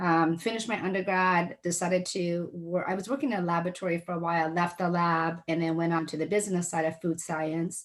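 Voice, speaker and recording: A woman with a slight non-native accent talks at a fairly quick pace. She keeps her intonation fairly even and hardly pauses. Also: fairly low pitch for a woman. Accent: slight foreign. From Seattle, US (immigrated 1985 as a child). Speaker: entrepreneur. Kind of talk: interview.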